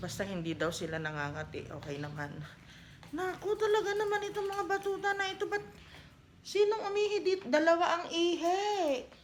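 Audible room echo and noticeable background noise surround a woman speaking at a fairly quick pace. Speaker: vlogger. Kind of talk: casual vlog talk to camera. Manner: not as loud as before.

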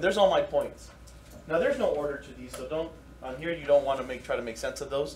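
Over noticeable background noise, a man talks at a very fast pace with big swings in loudness. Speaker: math teacher. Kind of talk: lecture. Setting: classroom.

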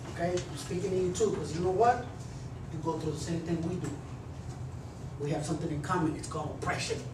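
A man with an American accent talks at a very fast pace at a high pitch, yet leaves long, frequent pauses. Audible room echo and noticeable background noise surround him. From Texas. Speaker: motivational speaker and former gang member. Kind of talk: motivational talk to students. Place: classroom. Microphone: camera far.

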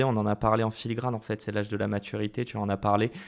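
At a very fast pace, a man speaks with a medium pitch on a very clean recording with a silent background. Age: 30s. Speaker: podcast host. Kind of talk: casual interview. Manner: energetic.

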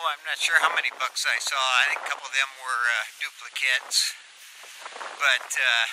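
Noticeable background noise accompanies a man whose intonation is fairly even. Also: moderate pace. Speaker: hunting vlogger. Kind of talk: casual vlog chat.

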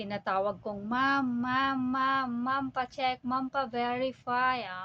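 An ordinary speaking voice from a woman, at a fairly slow pace, with ordinary pitch variation. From Philippines. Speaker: vlogger, overseas accountant. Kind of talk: casual vlog monologue.

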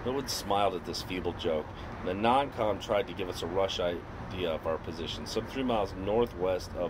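The words are read aloud plainly. Nothing more is added to the reading.

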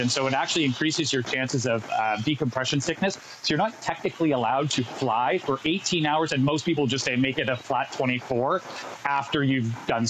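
A man speaks fairly quickly with ordinary pitch variation over light background noise. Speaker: travel correspondent. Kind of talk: remote TV segment explanation. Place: beach. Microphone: earbuds.

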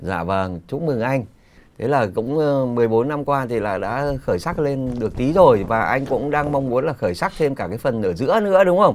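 This man talks at a moderate pace in a medium pitch, his voice making very wide pitch swings. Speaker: radio host. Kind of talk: live radio call-in. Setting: studio. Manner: formal.

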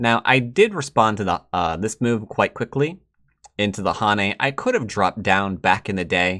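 With an American accent, a man speaks at a fairly low pitch and a moderate pace, his tone bright, sharp and animated, with ordinary pitch variation against a quiet background. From United States. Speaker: Go player and teacher; teacher. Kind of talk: commentated game tutorial. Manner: casual, animated.

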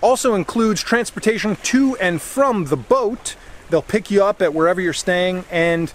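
Here a man speaks at a moderate pace with ordinary pitch variation. The sound is dry, without echo. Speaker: travel vlogger. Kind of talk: casual vlog chat. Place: beach. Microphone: phone near.

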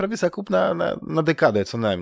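A man talks at a fairly quick pace with vocal fry. The sound is dry and close with no echo, in a very clean recording with a silent background. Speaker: gaming podcast host. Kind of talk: casual chat. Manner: halting, many fillers and repetitions.

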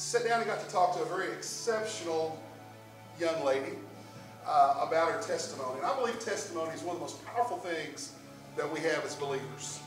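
Clear music plays behind a man who speaks at a fairly quick pace and a high pitch, with audible room echo. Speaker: church pastor. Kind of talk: sermon introduction. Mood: warm, friendly. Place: church.

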